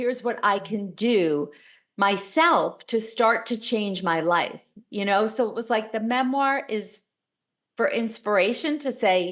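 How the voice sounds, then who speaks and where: A woman with a normal speaking voice, fairly high pitch, ordinary pitch variation and a fairly slow pace, against a quiet background. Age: 60s. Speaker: author and speaker. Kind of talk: interview.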